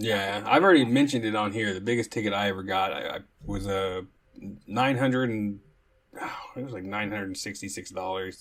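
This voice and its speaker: A normal speaking voice at a fairly quick pace, with an American accent. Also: man, fairly low pitch for a man, fairly even intonation. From Oklahoma. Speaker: podcast host. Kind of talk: casual chat.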